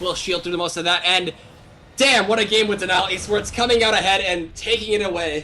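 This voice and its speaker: Speech at a very fast pace comes through noticeable background noise. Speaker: esports caster. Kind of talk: live commentary.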